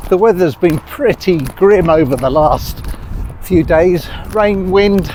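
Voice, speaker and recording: With an English accent and a high pitch, a man speaks at a very slow pace and very even loudness amid noticeable background noise. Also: ordinary pitch variation. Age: 60s. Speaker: vlogger. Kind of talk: vlog narration. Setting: outdoors.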